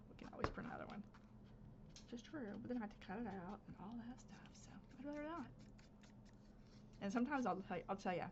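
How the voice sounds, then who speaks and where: A woman with an American accent, lively intonation, a very fast pace and a somewhat breathy quality. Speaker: crafter, channel host. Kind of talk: casual craft-along chat. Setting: home craft space, recorded instead of live.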